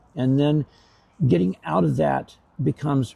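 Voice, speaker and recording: Somewhat breathy and with a dark, mellow tone, a man speaks at a fairly slow pace. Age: 60s. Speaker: homeless man. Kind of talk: interview. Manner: halting, many repetitions and fillers.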